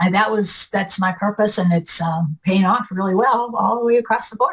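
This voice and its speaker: A woman speaks at a moderate pace with a medium pitch and ordinary pitch variation. Her voice is somewhat breathy, and her loudness stays very even. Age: 60s. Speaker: retired client of a health practice. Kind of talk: interview.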